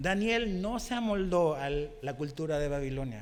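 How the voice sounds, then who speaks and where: There is audible room echo as a man speaks fairly slowly with lively intonation. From Chile. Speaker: pastor. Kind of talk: sermon.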